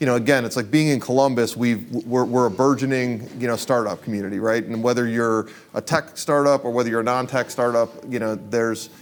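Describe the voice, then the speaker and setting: Against noticeable background noise, a man at medium pitch talks at a fairly quick pace with hardly any pauses. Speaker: event host and interviewer. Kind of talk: live interview at event. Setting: event room with audience. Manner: casual, animated.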